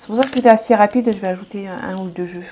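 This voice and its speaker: A woman talks at a very fast pace with noticeable background noise. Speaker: tarot card reader. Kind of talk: tarot reading. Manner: hesitant.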